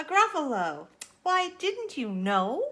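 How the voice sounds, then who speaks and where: In a put-on character voice, a woman projects at an extremely high pitch, her pitch swinging very widely at a fairly slow pace. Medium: read story. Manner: cheeky, confident.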